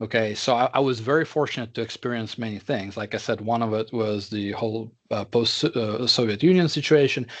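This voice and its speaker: A man at medium pitch with a Russian accent, hardly any pauses, and a quiet background. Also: ordinary pitch variation, fairly quick pace. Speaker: tech executive. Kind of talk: interview. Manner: halting, many fillers.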